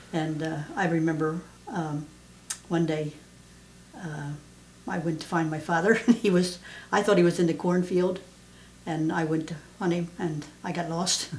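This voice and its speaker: A woman with an American accent at fairly low pitch, moderate pace and fairly even intonation, with long, frequent pauses and audible room echo. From southeastern Pennsylvania. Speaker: mother interviewed about her life. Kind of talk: oral history interview. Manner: halting, many fillers.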